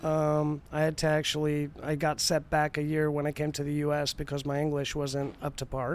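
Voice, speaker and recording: With a Spanish accent, the speaker talks at a moderate pace in a flat, monotone intonation, hardly pausing at all. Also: man, fairly high pitch for a man. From Spain. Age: 40s. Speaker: artist. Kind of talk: casual chat.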